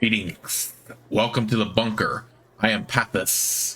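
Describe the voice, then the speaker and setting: A man puts on a character voice, speaking at a fairly slow pace in a shaky, monotone delivery at a medium pitch with flat intonation. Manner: welcoming.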